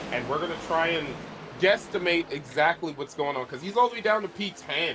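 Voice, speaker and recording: Noticeable background noise sits behind the voice. A man speaks at a fairly quick pace. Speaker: sim racing commentator. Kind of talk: live commentary.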